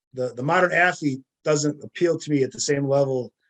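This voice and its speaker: A normal speaking voice, a man with an American accent, fairly high pitch, fairly even intonation and a fairly quick pace, dry and close with no echo. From US Midwest, northern Wisconsin. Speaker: sports memorabilia collector. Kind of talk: interview.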